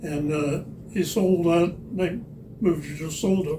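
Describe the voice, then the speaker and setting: Audible room echo surrounds a man's high-pitched voice. His intonation stays fairly even. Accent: American. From Missouri. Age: 90s. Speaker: longtime resident, Air Force veteran. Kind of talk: oral history interview.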